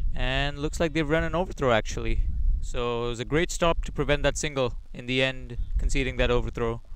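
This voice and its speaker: Using a normal speaking voice, a man talks fairly quickly at a medium pitch. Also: fairly even intonation. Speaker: cricket commentator. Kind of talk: live sports commentary.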